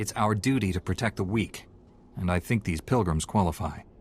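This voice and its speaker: Putting on a character voice, a man speaks at a fairly quick pace with a very deep, low pitch. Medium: video game. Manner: calm, steady.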